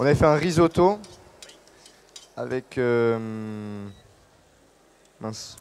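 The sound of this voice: Speaking very slowly at a medium pitch, a man has a clear, smooth, slightly mellow tone and lively intonation.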